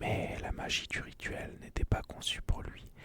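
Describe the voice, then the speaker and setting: A man whispers in a calm tone. His pace is very slow. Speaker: ASMR content creator. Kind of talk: ASMR whispered story narration for relaxation and sleep. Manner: whispered, soft, calm.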